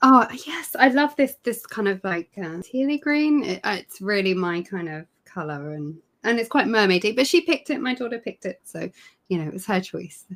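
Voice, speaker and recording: A woman with a British accent speaks at a moderate pace in a medium pitch, her voice swinging very widely in pitch and rising and falling a great deal in loudness. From UK. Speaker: knitting and crochet technical editor. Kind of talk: interview. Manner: halting.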